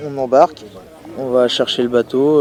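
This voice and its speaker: A man's monotone, flat delivery at a very slow pace, over noticeable background noise. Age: 20s. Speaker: fisherman, deckhand. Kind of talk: interview testimony. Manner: hesitant, many fillers.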